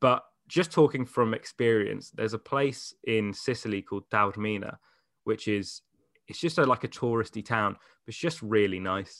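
A man with an English accent at a medium pitch and moderate pace, ordinary pitch variation, big swings in loudness, dry and close with no echo, against a quiet background. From England. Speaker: radio DJ. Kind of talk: casual chat. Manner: animated.

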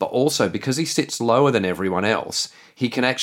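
Someone reads in an unforced voice, and the intonation is lively.

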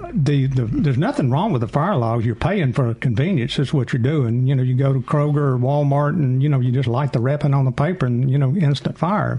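With a normal speaking voice, a man talks at a fairly quick pace with hardly any pauses, a fairly high pitch, ordinary pitch variation and very even loudness. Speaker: chimney sweep expert. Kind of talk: call-in advice show.

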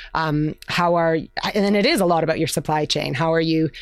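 A woman with a Canadian accent has a plain, everyday voice at a fairly low pitch and moderate pace. The recording is very clean, with a silent background. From Canada. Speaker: marketing executive. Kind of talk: interview.

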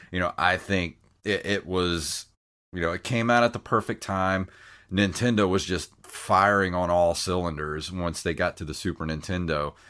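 In a Southern US accent, a man with a very deep, low voice and a bright, sharp tone speaks at a moderate pace with fairly even intonation on a very clean recording with a silent background. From US South. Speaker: retro gaming podcast host. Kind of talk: casual chat.

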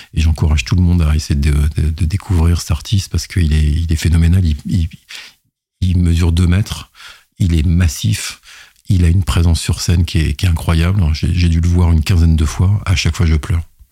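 A man's very deep, low voice with a dark, mellow tone, a somewhat breathy quality, fairly even intonation, and a moderate pace. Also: very even loudness. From France, partly raised in Madagascar. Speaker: IT operations executive. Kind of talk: interview. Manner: halting, frequent repetitions.

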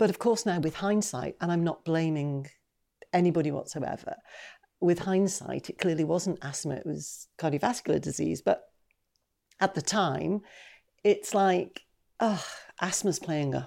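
In a very clean recording with a silent background, a woman with a fairly low pitch, a dark, mellow tone and vocal fry talks at a moderate pace, leaving long, frequent pauses. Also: ordinary pitch variation. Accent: Geordie. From Newcastle upon Tyne, northeast England. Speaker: retired patient advocate. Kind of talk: panel discussion testimony.

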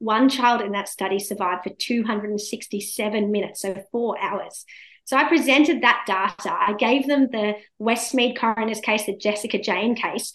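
A woman with an Australian accent speaks in a fairly high pitch with fairly even intonation. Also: moderate pace. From India, raised in Australia. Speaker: law professor. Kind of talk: interview.

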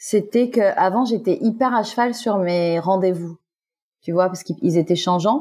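At a fairly slow pace, a woman with a medium-pitched, dark, mellow and somewhat breathy voice talks with ordinary pitch variation, in a very clean recording with a silent background. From Guadeloupe. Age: 40s. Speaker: actress. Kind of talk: testimony.

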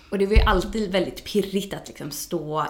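With audible room echo, a woman speaks using ordinary pitch variation. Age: 30s. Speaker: yoga teacher. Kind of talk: casual chat.

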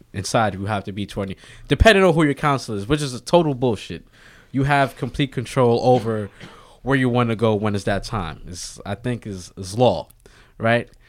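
In a plain, everyday voice, a man with an American accent talks at a fairly quick pace with a medium pitch and ordinary pitch variation. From Harlem, New York City. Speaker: former prisoner, personal trainer. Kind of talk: interview. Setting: podcast studio.

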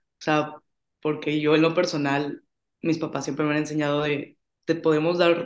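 A woman speaks in an ordinary speaking voice. Her pitch is fairly low, and her pace is moderate. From Monterrey, Mexico. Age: 20s. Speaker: finance student. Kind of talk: casual chat.

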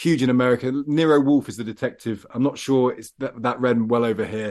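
Talking at a fairly quick pace, a man speaks in an English Midlands accent at a medium pitch. His pitch variation is ordinary, and the background is quiet. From English Midlands, Loughborough. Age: 40s. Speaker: journalist and radio presenter, debut novelist. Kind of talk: interview.

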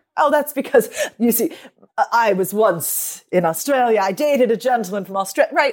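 The speaker has a plain, everyday voice with an American accent. Delivery comes at a moderate pace with lively intonation. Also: woman, fairly high pitch for a woman. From United States. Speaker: dialect and speech coach, author. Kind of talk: casual chat with passages read aloud from her book. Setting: remote online recording.

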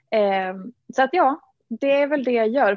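A woman speaks in an ordinary speaking voice. Her pitch variation is ordinary. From Dalarna, Sweden. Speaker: fitness influencer and entrepreneur. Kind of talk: interview.

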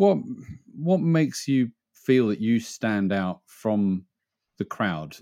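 On a very clean recording with a silent background, a man speaks at a fairly low pitch in a dark, mellow tone. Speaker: interviewer. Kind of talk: interview.

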